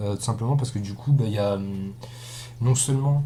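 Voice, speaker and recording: Amid audible room echo, a man with a dark, mellow tone speaks at a fairly quick pace with fairly even intonation. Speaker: gaming YouTuber. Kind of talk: let's play commentary. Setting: recording at home computer. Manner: monotone; relatively loud. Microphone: cheap built-in webcam mic.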